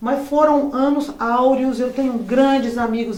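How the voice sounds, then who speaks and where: Amid noticeable background noise and audible room echo, a woman with a high pitch talks at a moderate pace with fairly even intonation. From Brazil, São João del Rei, Minas Gerais. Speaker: singer. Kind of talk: interview. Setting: studio.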